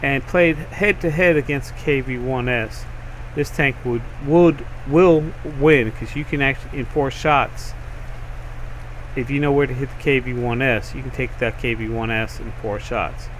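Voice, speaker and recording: Noticeable background noise runs under the voice. The pitch moves in an ordinary way at a moderate pace. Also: man, medium pitch for a man. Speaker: gaming channel host. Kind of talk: video game review and commentary. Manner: casual, hesitant with fillers.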